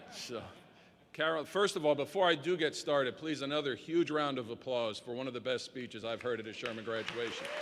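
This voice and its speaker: Noticeable background noise sits behind a man talking at a fairly quick pace. His pitch is medium, with ordinary variation. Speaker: commencement speaker, chiropractor. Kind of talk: commencement speech. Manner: soft-spoken.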